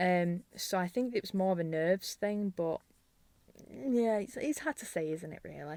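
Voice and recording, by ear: In a Yorkshire accent, a woman speaks with a fairly low pitch, a slightly mellow tone and lively intonation. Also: moderate pace. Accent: Yorkshire, northern English.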